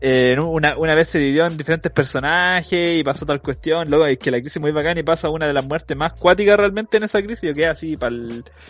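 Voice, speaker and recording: Barely pausing, a man rattles along at a very fast pace and a fairly high pitch, with ordinary pitch variation. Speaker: podcast co-host and YouTuber. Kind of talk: casual chat. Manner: animated.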